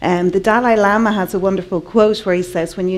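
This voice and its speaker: This woman has a medium-pitched voice and speaks with an Irish accent. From Ireland. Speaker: artist and conference speaker. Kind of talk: conference talk.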